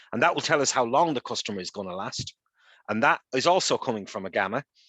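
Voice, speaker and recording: A man's medium-pitched voice with a bright, sharp tone and lively intonation at a very fast pace, with a quiet background and a dry, close sound with no echo. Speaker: data science workshop presenter. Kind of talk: online workshop lecture.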